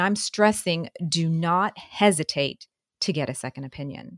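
In a very clean recording with a silent background, a woman with a plain, everyday voice speaks at a fairly low pitch with ordinary pitch variation, the sound dry and close with no echo. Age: 40s. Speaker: retirement financial advisor. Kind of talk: radio talk show chat. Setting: radio studio.

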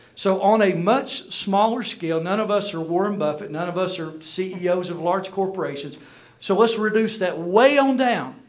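A man talks at a moderate pace in a high pitch, with noticeable noise in the background. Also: ordinary pitch variation. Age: 50s. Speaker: minister and business speaker. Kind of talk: conference talk to church audience. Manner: animated.

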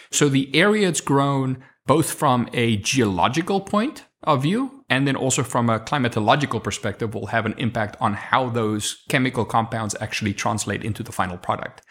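A man at medium pitch with a South African accent, hardly any pauses, in a very clean recording with a silent background. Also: lively intonation, moderate pace. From South Africa, Kempton Park near Johannesburg. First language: Afrikaans. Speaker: sommelier and hospitality director. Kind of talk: interview, personal life story.

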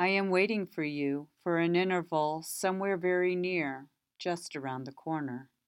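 Over a quiet background, a woman talks fairly slowly in a plain, everyday voice, fairly low in pitch, with ordinary pitch variation. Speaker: person offering condolences. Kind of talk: eulogy prayer, reading aloud. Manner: solemn; slow, gentle, comforting.

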